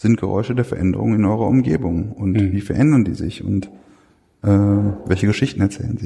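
A dark, mellow tone at a moderate pace. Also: man. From Ruhr area, Germany. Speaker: museum researcher. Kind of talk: interview. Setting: workshop lunch at a museum. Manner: halting with many fillers.

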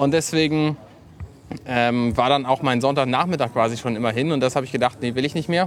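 Speaking at a fairly quick pace, a man uses a medium pitch with ordinary pitch variation. Background noise is noticeable. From northern Germany, Buxtehude. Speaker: podcaster. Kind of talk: casual chat.

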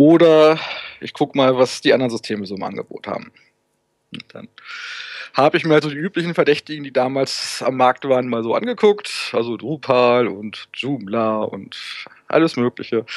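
With an ordinary speaking voice, a man talks at a moderate pace and medium pitch, his intonation lively and his loudness swinging widely, in a dry, close sound with no echo. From northern Germany, Hannover. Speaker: web developer and volunteer support forum moderator. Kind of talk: casual interview.

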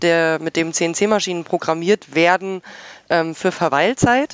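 This woman speaks in a fairly low pitch with ordinary pitch variation. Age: 20s. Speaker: hobby podcaster and CNC machinist. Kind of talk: casual chat.

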